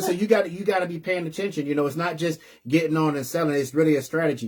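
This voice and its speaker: Very fast and animated, a man with a fairly high pitch speaks with ordinary pitch variation. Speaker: live-stream host for a resale boutique community. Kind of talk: live-stream business advice talk. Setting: live online stream.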